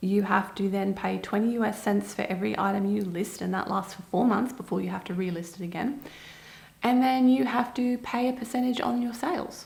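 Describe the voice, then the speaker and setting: A woman with a medium pitch and ordinary pitch variation speaks at a fairly quick pace. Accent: Australian. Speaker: online seller and business video host. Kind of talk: casual explainer to camera. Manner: conversational, emphatic.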